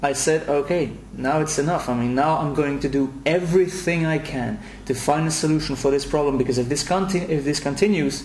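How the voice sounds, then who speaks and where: In a European accent, the speaker talks at a moderate pace with ordinary pitch variation, with audible room echo and noticeable background noise. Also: man. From Belgium, Brussels. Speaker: anxiety self-help coach. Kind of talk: promotional video message. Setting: recorded at home. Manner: halting, many repetitions.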